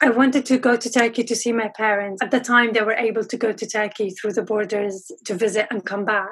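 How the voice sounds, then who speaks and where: With an Arabic accent, a woman speaks at a fairly high pitch and with fairly even intonation. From Syria, Aleppo. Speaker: pharmacist in training. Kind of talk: interview.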